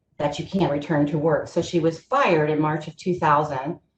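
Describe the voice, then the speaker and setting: A woman speaks in a very deep, low pitch. Her voice is somewhat breathy, with ordinary pitch variation. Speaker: presenter on kidney patient employment. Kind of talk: webinar presentation. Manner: fast.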